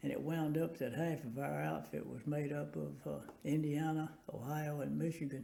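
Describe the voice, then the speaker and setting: A man with a Tennessee accent speaks in a room with audible echo. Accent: US Southern, Tennessee. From Tennessee, Nashville. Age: 90s. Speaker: war veteran. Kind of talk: oral history interview. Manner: halting.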